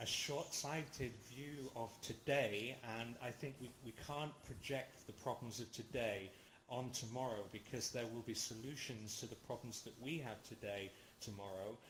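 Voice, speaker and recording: Somewhat breathy, a man talks at a moderate pace and medium pitch with fairly even intonation, and audible room echo can be heard. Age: 40s. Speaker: lecturer. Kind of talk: lecture with Q&A discussion. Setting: virtual reality platform. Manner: halting, many fillers.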